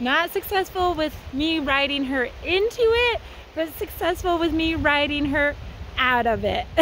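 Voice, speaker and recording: A woman's high-pitched voice at a fairly slow pace, with lively intonation, a dry sound with no echo, and light background noise. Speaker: horse trainer. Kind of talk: casual vlog chat. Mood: cheerful, laughing. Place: open country. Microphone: phone near.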